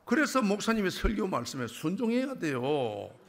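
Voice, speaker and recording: Amid noticeable background noise and audible room echo, a man with a Busan accent speaks with very wide pitch swings. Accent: Gyeongsang (Busan) dialect. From Busan, South Korea. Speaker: church elder giving testimony. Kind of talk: testimony. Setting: church. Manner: animated.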